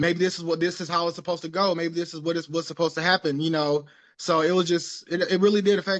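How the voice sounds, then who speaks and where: A man with an American accent, high-pitched, at a very fast pace with fairly even intonation. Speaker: abuse and addiction survivor. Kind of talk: interview testimony. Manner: halting, many fillers.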